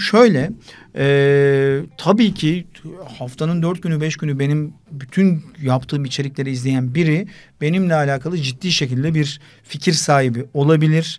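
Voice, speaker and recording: Here a man with a fairly high voice speaks at a moderate pace. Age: 40s. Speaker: sports broadcaster; podcast guest. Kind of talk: casual chat. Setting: studio. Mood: relaxed, joking. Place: studio. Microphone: studio mic.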